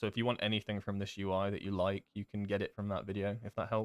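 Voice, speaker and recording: In a very clean recording with a silent background, a man with a southern English accent talks at a fairly low pitch, the sound dry and close with no echo. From southern England, Devon. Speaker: game streamer. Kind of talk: live gameplay stream chat. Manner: casual, hesitant with fillers.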